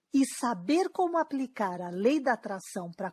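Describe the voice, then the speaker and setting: Recorded very cleanly against a silent background, this voice moves at a fairly slow pace with very wide pitch swings and a Brazilian accent. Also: woman. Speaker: dating coach. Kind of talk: sales pitch.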